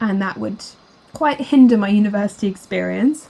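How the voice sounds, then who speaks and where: Talking at a fairly quick pace, a woman speaks. Her pitch is medium. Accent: British. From UK. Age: 20s. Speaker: art YouTuber and student. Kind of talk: voiceover narration over drawing video. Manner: casual, chatty.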